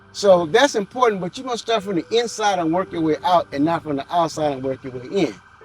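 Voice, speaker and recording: A high-pitched man talks at a fairly quick pace with lively intonation and hardly any pauses over noticeable background noise. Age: 60s. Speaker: interviewee. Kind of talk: interview.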